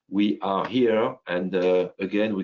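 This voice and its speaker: Speaking with a strong French accent, a man's voice sits at a fairly low pitch. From France. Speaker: company CEO presenting software. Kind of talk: business webinar presentation. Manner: halting with many fillers.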